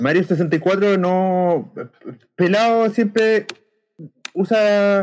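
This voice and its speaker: A man with a Chilean accent speaks at a high pitch. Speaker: podcast co-host. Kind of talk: casual chat.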